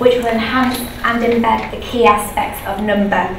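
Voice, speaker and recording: Over noticeable background noise and audible room echo, a woman with a high pitch speaks at a moderate pace. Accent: British. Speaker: primary school teacher. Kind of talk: conference presentation. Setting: presentation room with microphone.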